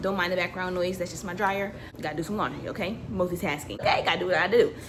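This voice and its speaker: An animated, very fast voice comes through audible room echo and noticeable background noise. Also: woman. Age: 20s. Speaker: lifestyle vlogger. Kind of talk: casual chat.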